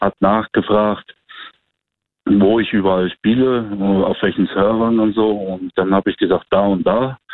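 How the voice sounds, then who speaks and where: A man's fairly low voice, monotone and flat in intonation, at a fairly slow pace. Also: very even loudness. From Germany. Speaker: guest telling a dating story. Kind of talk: storytelling.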